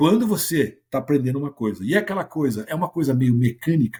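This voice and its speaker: A man talks in an animated tone. His intonation is lively. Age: 60s. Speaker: sales mentor. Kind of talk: podcast interview.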